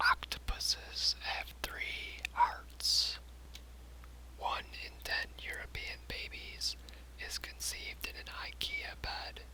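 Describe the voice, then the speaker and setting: Soft-spoken and whispering, the voice moves at a very slow pace through noticeable background noise. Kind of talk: whispered ASMR fact reading. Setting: binaural microphone recording for sleep. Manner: whispered, relaxing, soft.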